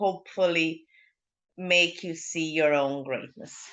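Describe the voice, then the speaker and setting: A woman with a Serbian accent speaks at a fairly slow pace in a fairly low, bright, sharp voice. The background is quiet. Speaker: leadership mentor. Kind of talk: interview. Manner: halting.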